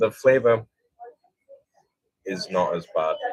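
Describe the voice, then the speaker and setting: A man speaks with a British accent. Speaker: streamer. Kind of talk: casual chat.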